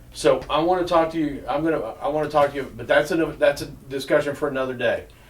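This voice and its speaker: The man talks at a very fast pace with a fairly high pitch and fairly even intonation. Noticeable background noise runs underneath. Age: 60s. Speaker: oral history interviewer. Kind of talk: interview.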